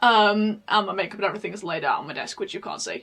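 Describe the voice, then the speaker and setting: With a British accent, a woman speaks at a very fast pace. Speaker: podcaster. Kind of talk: casual chat. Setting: home recording. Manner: halting.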